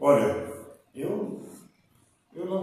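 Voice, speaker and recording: The voice has a dark, mellow tone and vocal fry, moving at a very slow pace with audible room echo around it. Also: man. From Tatuí, São Paulo state, Brazil. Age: 50s. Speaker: interviewee. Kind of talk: interview. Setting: his office.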